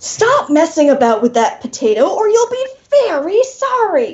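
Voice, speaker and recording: A woman's put-on character voice in an extremely high pitch, bellowing and growling at a moderate pace with very wide pitch swings. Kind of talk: formerly genteel, now furious. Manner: roaring, snarling.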